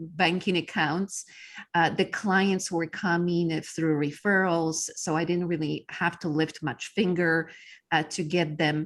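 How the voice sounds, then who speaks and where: A woman with a Polish accent speaks in a fairly low pitch with a flat, monotone intonation, on a very clean recording with a silent background. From Poland. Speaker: business coach. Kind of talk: interview. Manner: halting with many fillers.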